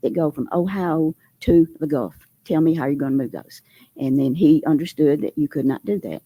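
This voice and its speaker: A woman with a Southern US accent, dark and mellow in tone, at a fairly quick pace, in a dry, close sound with no echo. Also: very clean recording, silent background. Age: 80s+. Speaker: resident speaking at public hearing. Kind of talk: public comment at meeting. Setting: public meeting hall. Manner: halting.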